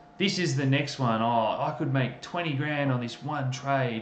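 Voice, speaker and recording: A man with an Australian accent, medium pitch, and moderate pace, amid noticeable background noise and audible room echo. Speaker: crypto news host. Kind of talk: casual livestream chat. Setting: livestream. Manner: animated.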